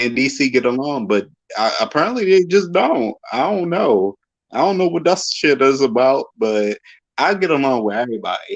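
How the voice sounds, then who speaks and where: With a Baltimore accent, a man speaks at a moderate pace in a fairly high voice that makes very wide pitch swings. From Baltimore, Maryland. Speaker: fan guest. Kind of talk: casual chat.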